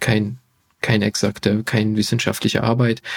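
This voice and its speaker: With a dry, close sound and no echo, a man talks at a medium pitch and a fairly slow pace. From Hungary. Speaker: physician and health YouTuber. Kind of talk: podcast interview.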